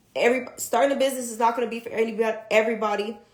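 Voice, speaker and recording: An animated, fairly high-pitched woman at a very fast pace. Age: 30s. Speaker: vlogger. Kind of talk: casual livestream talk. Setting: livestream.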